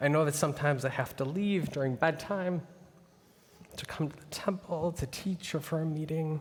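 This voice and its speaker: Fairly even intonation at a moderate pace, with an American accent. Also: man. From US Midwest. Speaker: rabbi. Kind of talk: farewell speech. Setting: synagogue sanctuary with congregation.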